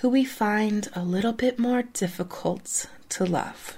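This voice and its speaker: A woman speaks at a fairly slow pace in a fairly high pitch with ordinary pitch variation. Her tone is soothing and calm, and somewhat breathy. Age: 40s. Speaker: parenting podcast host. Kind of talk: guided meditation. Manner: slow, soft, soothing and unhurried, with long calm pauses.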